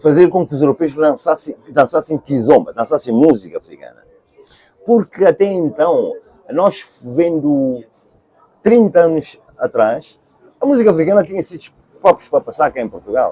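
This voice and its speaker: With music in the background and a dry, close sound with no echo, a man speaks at a high pitch and moderate pace, using lively intonation and long, frequent pauses. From Cape Verde. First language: Cape Verdean Creole (speaking Portuguese). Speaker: singer. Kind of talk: interview. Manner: halting.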